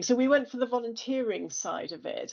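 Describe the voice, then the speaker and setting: With an English accent, a woman speaks in a high pitch with ordinary pitch variation. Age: 60s. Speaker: business founder. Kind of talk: presentation.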